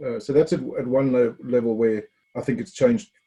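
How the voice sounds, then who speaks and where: Dark and mellow in tone, this somewhat breathy voice has lively intonation. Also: man. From South Africa. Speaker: former Olympic field hockey player, sports tech CEO. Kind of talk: podcast interview answer.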